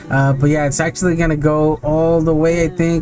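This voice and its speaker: A man speaks at a fairly quick pace with a fairly high pitch. Noticeable background noise runs behind him. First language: not English. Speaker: gaming video creator. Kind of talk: gameplay commentary. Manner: casual, hesitant with many fillers.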